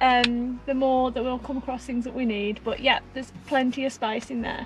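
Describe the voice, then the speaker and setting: A woman's high voice at a moderate pace, dry with no echo, over clear music in the background. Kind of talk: casual vlog chat. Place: car. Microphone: phone near.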